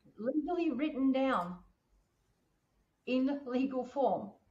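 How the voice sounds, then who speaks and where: A woman with an Australian accent speaks in a high pitch. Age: 60s. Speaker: podcast host on finance and wellbeing. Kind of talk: casual chat.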